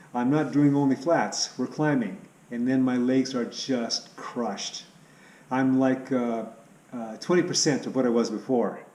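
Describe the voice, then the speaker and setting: Against noticeable background noise, a man speaks fairly slowly at a medium pitch with ordinary pitch variation. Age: 60s. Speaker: cycling vlogger. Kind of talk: casual vlog update. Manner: hesitant, with fillers.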